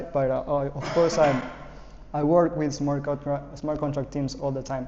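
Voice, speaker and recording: Monotone, flat intonation at a moderate pace, amid noticeable background noise and audible room echo. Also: man. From Ecuador. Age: 20s. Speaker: programming instructor. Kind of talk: lecture; casual self-introduction.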